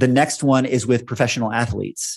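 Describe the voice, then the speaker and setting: A man with an American accent talks at a fairly quick pace in a medium pitch over a quiet background. He has an unremarkable speaking voice. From Texas. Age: 50s. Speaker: company founder. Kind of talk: casual chat.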